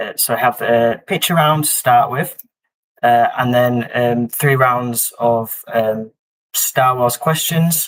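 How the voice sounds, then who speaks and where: A man's medium-pitched voice with a Yorkshire accent, at a very slow pace, with ordinary pitch variation. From Yorkshire, northern England. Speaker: quiz host. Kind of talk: live-stream quiz hosting. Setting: live stream. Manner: hesitant, many fillers.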